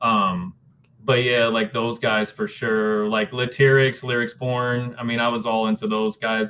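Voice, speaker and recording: A man's lively intonation comes through at a moderate pace, with noticeable background noise around him. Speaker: spoken word poet and rapper. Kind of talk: interview answer. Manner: casual, conversational.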